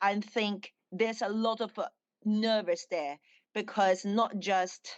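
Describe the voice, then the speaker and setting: At a fairly slow pace, a woman with a Chinese accent speaks at medium pitch with ordinary pitch variation. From China. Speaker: dancer and actress. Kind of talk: interview. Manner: halting.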